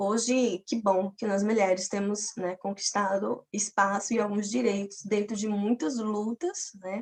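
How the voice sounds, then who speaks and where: With a plain, everyday voice, a woman of medium pitch speaks at a fairly slow pace. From Paraíba, Brazil (Campina Grande). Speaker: physics teacher and doctoral student. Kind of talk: personal testimony in an online academic talk.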